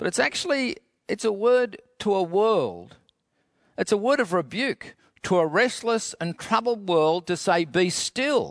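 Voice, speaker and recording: Dry and close with no echo, a man's high-pitched voice carries lively intonation. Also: fairly slow pace, quiet background. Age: 60s. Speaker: pastor. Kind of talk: sermon. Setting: empty auditorium, filmed for online broadcast.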